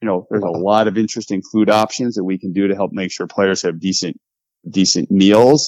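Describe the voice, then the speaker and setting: A man talks at a fairly quick pace in a plain, everyday voice. His pitch is fairly low, with fairly even intonation. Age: 50s. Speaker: baseball team president. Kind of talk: interview.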